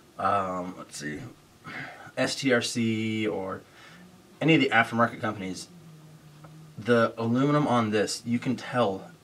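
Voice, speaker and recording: Over noticeable background noise, a man speaks at a fairly slow pace and medium pitch, with ordinary pitch variation and long, frequent pauses. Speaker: RC car reviewer. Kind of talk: product review. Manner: casual, hesitant with fillers.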